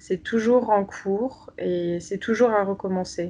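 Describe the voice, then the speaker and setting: Her intonation fairly even, a woman talks at a very slow pace. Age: 20s. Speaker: doctoral student in sociology. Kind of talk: interview about personal faith. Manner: hesitant, many fillers and repetitions.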